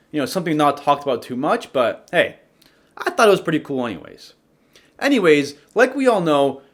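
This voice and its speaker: Speaking with a non-native accent, a man talks at a fairly quick pace and fairly high pitch with very wide pitch swings, on a very clean recording with a silent background. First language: not English. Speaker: YouTuber narrating MMA fighter biography. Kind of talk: casual commentary narration. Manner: casual, joking.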